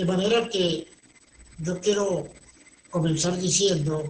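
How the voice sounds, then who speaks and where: Over noticeable background noise, a man speaks at a very slow pace with fairly even intonation. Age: 60s. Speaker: pastor. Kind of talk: sermon. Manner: formal.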